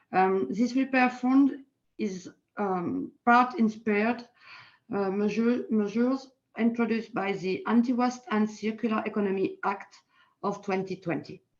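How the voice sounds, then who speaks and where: Speaking fairly slowly in a French accent, a woman has a fairly high, somewhat breathy voice with ordinary pitch variation. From France. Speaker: politician. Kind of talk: panel talk. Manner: halting.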